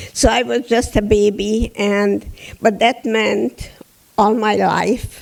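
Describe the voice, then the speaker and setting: The speaker has a Hungarian accent. Delivery comes at a very slow pace. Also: woman. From Hungary, Budapest. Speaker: Holocaust survivor speaker. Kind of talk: testimony. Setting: theatre stage with audience.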